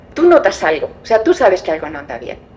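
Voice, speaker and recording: Noticeable background noise sits under this recording. The woman talking has lively intonation. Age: 60s. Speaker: adoptee searching for birth family. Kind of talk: testimony.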